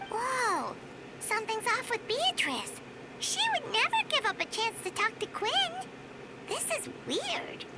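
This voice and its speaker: Over loud background noise, a put-on character voice speaks, squeaky and at extremely high pitch, at a fairly slow pace. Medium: game stream. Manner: chatty, exclamatory.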